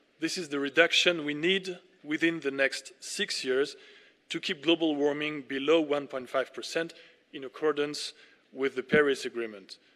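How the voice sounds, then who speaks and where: A man with a French accent speaks at a moderate pace. His pitch is fairly high and his intonation fairly even. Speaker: ambassador. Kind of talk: formal speech. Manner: formal.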